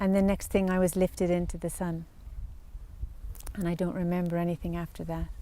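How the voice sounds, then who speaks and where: In an Irish accent, a woman speaks fairly quickly with a fairly low, dark, mellow voice. Her intonation is monotone and flat, broken by long, frequent pauses. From Ireland, Dublin and Wicklow. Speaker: spiritual practitioner. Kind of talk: testimony.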